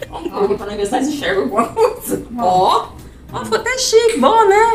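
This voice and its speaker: Her pitch high and swinging very widely, a woman speaks with audible room echo and light background noise. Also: moderate pace. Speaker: vlogger. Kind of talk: casual chat with friends. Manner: talkative. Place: kitchen. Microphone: camera far.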